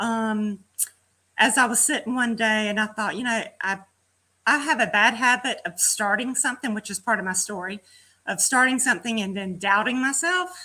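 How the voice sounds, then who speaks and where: On a very clean recording with a silent background, a woman with a Southern US accent speaks at a moderate pace in a bright, sharp tone, her fairly high pitch showing ordinary variation. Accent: Southern US country. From Georgia, US South. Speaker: fitness program participant. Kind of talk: casual chat. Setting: live video stream.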